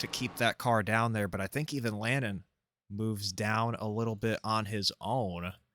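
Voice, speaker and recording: Bright and sharp in tone, the man's medium-pitched voice keeps fairly even intonation at a moderate pace. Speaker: sim racing commentator. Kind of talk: live commentary. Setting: live stream, solo. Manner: monotone.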